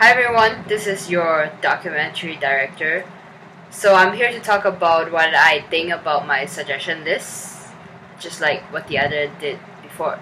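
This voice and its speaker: Amid noticeable background noise, a woman with a Chinese accent speaks at a moderate pace, her pitch fairly low with ordinary variation. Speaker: student documentary director. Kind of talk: documentary reflection. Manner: halting, many fillers.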